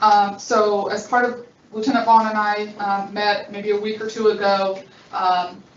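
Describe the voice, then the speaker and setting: Speaking fairly slowly in a flat monotone, a woman talks at a medium pitch with audible echo in the room. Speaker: district manager. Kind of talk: public board meeting. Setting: meeting room with voice-activated microphones. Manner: stuttering.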